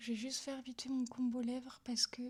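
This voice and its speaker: The speaker is a woman with a high pitch. Her tone is dark and mellow. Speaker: vlogger and ASMR creator. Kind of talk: casual vlog talk. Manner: speaking aloud, not whispering.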